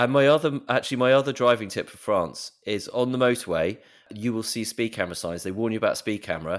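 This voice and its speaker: Medium-pitched and lively in intonation, a man is speaking. The recording is very clean, with a silent background. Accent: British. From Britain. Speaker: personal finance journalist. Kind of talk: casual podcast chat. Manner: animated storytelling.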